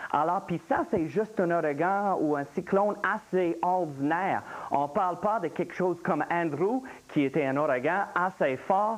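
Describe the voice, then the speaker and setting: Speaking with a Louisiana accent, a man uses a high pitch, ordinary pitch variation and very even loudness at a fairly slow pace. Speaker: meteorologist. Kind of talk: live TV explanation.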